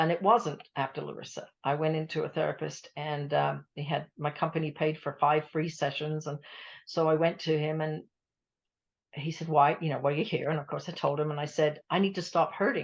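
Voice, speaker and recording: A woman speaks with a very deep, low pitch and vocal fry. Her pace is fairly quick, her intonation fairly even, and the background quiet. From England. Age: 70s. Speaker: grief support coach, bereaved mother. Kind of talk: radio interview. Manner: conversational, reflective.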